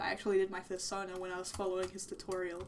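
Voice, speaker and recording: At a fairly quick pace, a woman speaks in a medium pitch over noticeable background noise. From Russia. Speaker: 3D modeller vtuber streamer. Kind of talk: live stream commentary while working. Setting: live stream. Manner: halting, stuttering; casual, filler-heavy. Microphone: blue snowball mic that sometimes gets very quiet.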